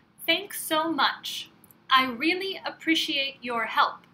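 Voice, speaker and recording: Her voice raised and projected, a woman with an American accent speaks at a very slow pace. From California. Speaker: English teacher. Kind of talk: language lesson phrase reading. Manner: slow, clear.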